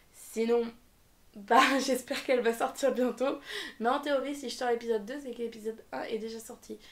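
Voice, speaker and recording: Loudness swings widely as the speaker talks at a moderate pace. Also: woman, high pitch for a woman. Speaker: anime reviewer youtuber. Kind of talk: casual video review. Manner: animated.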